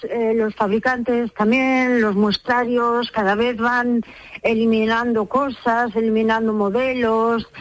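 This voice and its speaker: At a very slow pace, a woman speaks in a fairly high pitch with a monotone, flat intonation. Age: 60s. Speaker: umbrella repairer. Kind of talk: radio interview.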